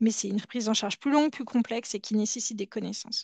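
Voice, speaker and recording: In a dry, close recording with no echo and a quiet background, a woman speaks with a fairly high pitch and fairly even intonation. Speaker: healthcare director, oncology care pathways. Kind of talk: webinar presentation. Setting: online webinar. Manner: fast.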